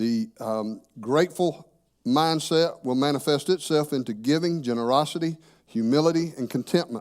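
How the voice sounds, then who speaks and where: A man talks at a moderate pace in a fairly high pitch with ordinary pitch variation. He has a plain, everyday voice. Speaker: church teacher. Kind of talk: sermon.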